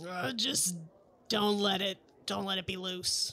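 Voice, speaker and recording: A man puts on a character voice at a high pitch. He keeps a fairly slow pace and fairly even intonation. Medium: actual play. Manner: curt, dry.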